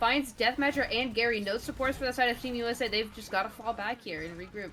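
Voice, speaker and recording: A voice with ordinary pitch variation talks at a very fast pace. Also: woman, fairly high pitch for a woman. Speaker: esports caster. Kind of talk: live commentary.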